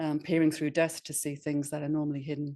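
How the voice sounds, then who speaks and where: A woman speaks with a very deep, low pitch and a dark, mellow tone. The background is quiet. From northeast England, Sunderland. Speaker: astronomer and professor. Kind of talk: webinar talk. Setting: webinar. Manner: informal, hesitant with many fillers.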